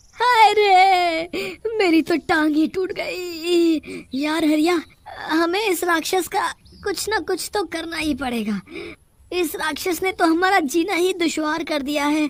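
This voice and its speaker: Putting on a whiny character voice, a woman speaks at an extremely high pitch with a moderate pace and ordinary pitch variation. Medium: cartoon. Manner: whiny, fearful, exclaiming.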